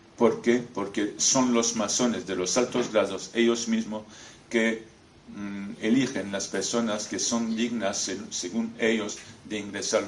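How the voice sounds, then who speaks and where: A man with a non-native accent speaks very slowly at a medium pitch, with fairly even intonation. Audible room echo and noticeable background noise fill the recording. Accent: foreign accent in Spanish. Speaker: former freemason, author. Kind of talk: lecture. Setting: talk in front of an audience. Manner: halting, with many hesitations.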